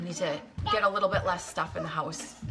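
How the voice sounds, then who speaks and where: Over music in the background, a woman speaks at a fairly low pitch. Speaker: vlogger. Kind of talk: casual chat. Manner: fast; halting.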